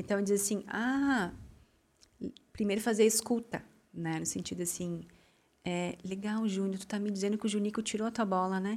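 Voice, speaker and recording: With fairly even intonation, a woman of medium pitch speaks at a moderate pace. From southern Brazil, Rio Grande do Sul. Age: 30s. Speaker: school founder and former finance manager. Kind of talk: interview conversation.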